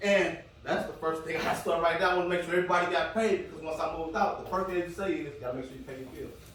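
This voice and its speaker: A man's very fast, energetic voice over noticeable background noise. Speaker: motivational speaker. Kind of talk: motivational talk to a live audience. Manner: conversational, energetic.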